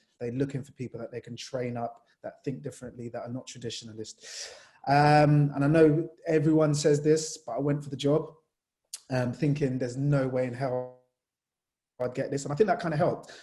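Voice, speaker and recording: This man talks at a fairly quick pace with a fairly high pitch, fairly even intonation and a dark, mellow, somewhat breathy tone. His loudness swings widely. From Jamaica, moved to England at nine. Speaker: sports journalist. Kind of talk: panel discussion. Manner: casual, conversational.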